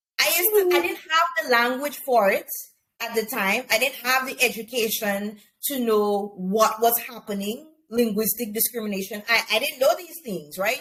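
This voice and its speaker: A woman with a Caribbean accent speaks at a fairly slow pace, leaving long, frequent pauses. Her tone is bright and sharp, and her intonation is lively. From Grenada, rural. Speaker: teacher. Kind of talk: interview conversation.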